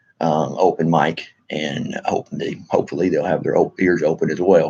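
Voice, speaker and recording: A man with a Texan accent speaks at a moderate pace. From Texas. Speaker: military veteran and political activist vlogger. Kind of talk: casual monologue to camera. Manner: halting, many fillers and restarts.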